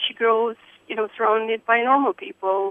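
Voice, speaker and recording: A woman speaks at a fairly high pitch. She has an Eastern European accent. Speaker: caller. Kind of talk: call-in conversation. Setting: phone call. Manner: excitable.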